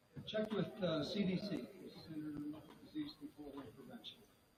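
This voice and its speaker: Audible room echo surrounds a man who talks at a moderate speed. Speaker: safety speaker. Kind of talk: presentation. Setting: stage with audience.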